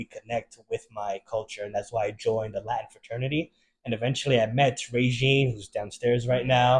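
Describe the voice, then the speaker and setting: A somewhat breathy voice with a slight New York accent. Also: man. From Maryland, US. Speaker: bartender and server. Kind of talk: interview.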